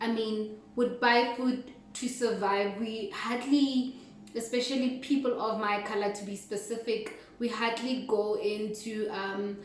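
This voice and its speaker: A woman's fairly high voice in a monotone, flat intonation at a fairly slow pace, with audible room echo and noticeable background noise. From South Africa, North West (Rustenburg). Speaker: cooking vlogger. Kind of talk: casual video intro.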